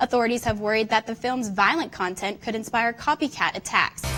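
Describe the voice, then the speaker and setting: A plain, everyday voice: a woman with an American accent, fairly high-pitched, at a fairly quick pace. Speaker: sports and news reporter, broadcast journalism student. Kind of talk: news anchor read.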